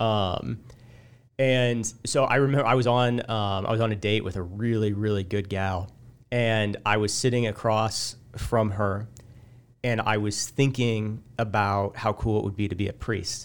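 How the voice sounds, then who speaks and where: In a very clean recording with a silent background, a man with a Midwestern American accent talks at a fairly slow pace, his fairly low pitch held in fairly even intonation. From central Illinois. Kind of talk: casual interview, personal testimony.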